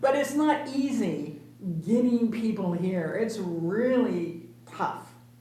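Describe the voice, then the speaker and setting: The speech is very slow, with very wide pitch swings, noticeable background noise and audible room echo. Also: woman, fairly high pitch for a woman. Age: 70s. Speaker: senior commissioner. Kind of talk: public meeting discussion.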